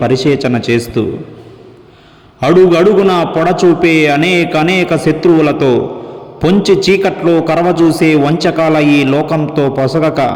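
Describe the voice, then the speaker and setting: A man's fairly high voice amid noticeable background noise. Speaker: singer and dubbing artist. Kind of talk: poetry reading. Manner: mournful, emotional.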